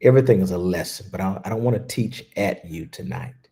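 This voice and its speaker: This man's voice sits at a fairly low pitch, with a dark, mellow, soothing tone and some vocal fry. His intonation is lively. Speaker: spiritual teacher. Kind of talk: guided meditation. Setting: livestream. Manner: slow.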